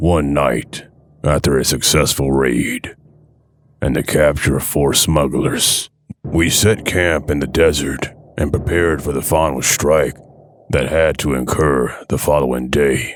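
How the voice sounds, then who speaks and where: Fairly slow delivery from a man, his pitch very deep and low, the intonation fairly even. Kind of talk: horror narration. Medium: read story. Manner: urgent, grave.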